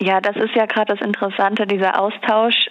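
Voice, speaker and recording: A woman's fairly high, flat and monotone voice over noticeable background noise. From Rheinhessen, Germany. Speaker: young winemaker and regional wine queen. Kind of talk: interview.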